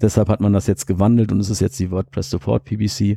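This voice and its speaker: This man has a dark, mellow tone and ordinary pitch variation. The sound is dry and close, with no echo. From Germany, Cologne. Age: 30s. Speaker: IT security manager and conference organizer. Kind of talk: podcast interview. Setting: on a sofa at a conference.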